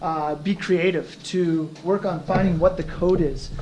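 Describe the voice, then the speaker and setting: Noticeable background noise sits behind this voice. A man with a high pitch speaks at a fairly slow pace. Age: 40s. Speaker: teacher. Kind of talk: presentation.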